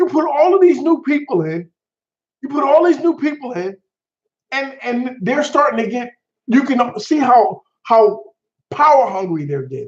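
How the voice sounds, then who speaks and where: With an animated tone and lively intonation, a man speaks at an extremely high pitch and a moderate pace, leaving long, frequent pauses. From US Northeast, New Haven, Connecticut. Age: 50s. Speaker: live streamer, retired navy veteran. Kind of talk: casual livestream chat, political rant. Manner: animated, repetitive.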